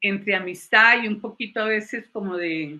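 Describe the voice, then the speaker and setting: A woman with an English accent, fairly slow pace, ordinary pitch variation and a bright, sharp tone. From Colombia. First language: English (speaking Spanish). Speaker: psychologist and former university lecturer. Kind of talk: panel talk, personal testimony.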